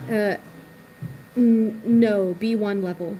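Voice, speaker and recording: A soft-spoken voice with an American accent comes through noticeable background noise. Its pitch varies in an ordinary way. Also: woman. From Virginia, US East Coast. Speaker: livestreamer. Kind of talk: live stream chat. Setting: restaurant.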